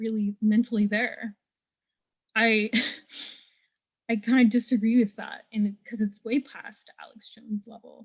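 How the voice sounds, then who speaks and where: Somewhat breathy and fairly high-pitched, a woman speaks at a fairly slow pace with long, frequent pauses, a monotone, flat intonation and big swings in loudness, in a dry, close sound with no echo. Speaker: audience participant. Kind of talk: question from audience.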